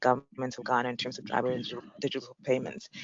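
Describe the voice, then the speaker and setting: A woman talking at a very fast pace. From South Africa. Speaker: payments executive, panelist. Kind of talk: panel discussion.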